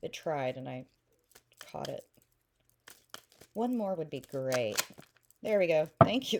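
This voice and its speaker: A woman speaks at a fairly slow pace with a slight Oklahoma accent. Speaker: tarot reader. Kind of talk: tarot reading. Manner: casual, many fillers; mouth clicking.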